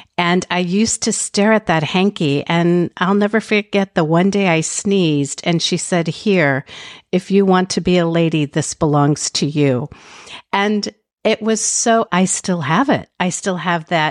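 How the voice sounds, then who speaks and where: A woman's fairly low voice at a fairly slow pace, very even in loudness, dry and close with no echo, a normal speaking voice. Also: ordinary pitch variation. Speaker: podcast host. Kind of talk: interview conversation.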